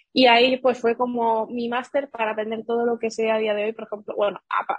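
The woman talks at a fairly quick pace with a fairly high pitch. Her voice is somewhat breathy and her intonation monotone and flat. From Seville, Andalusia, Spain. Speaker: digital marketing entrepreneur. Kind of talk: interview.

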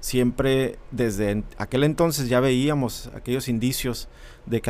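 A man with an unremarkable speaking voice talks at a medium pitch with fairly even intonation. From Mexicali, Baja California, Mexico. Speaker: civic association director. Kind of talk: casual interview.

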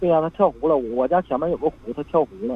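Lively intonation runs through a man's speech, pitched fairly high. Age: 40s. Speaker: caller. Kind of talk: phone-in confession.

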